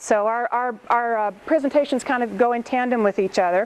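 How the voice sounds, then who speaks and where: A woman speaks at a fairly quick pace in a high voice with ordinary pitch variation. Noticeable background noise runs under the recording. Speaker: government knowledge management director. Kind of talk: conference presentation. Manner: fast.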